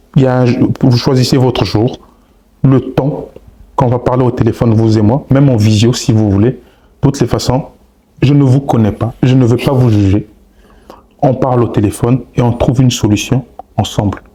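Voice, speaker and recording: Long, frequent pauses break up speech that holds a very even loudness. Noticeable background noise runs underneath. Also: man, medium pitch for a man, moderate pace. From Congolese. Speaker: relationship advice content creator. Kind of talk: podcast interview. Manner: animated.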